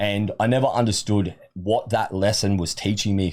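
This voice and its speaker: On a very clean recording with a silent background, a man with an Australian accent speaks in a very deep, low voice. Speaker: supplement company sales manager. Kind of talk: podcast interview. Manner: talkative.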